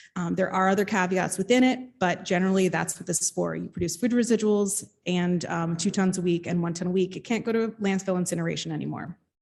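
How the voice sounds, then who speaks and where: Very fast speech with an American accent and fairly even intonation. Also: woman, medium pitch for a woman. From New Jersey. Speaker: state outreach and enforcement official. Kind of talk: panel presentation. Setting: panel with live audience. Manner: loud.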